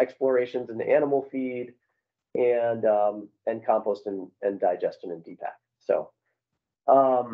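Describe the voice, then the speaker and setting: Quiet background, a man, ordinary pitch variation. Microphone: video call.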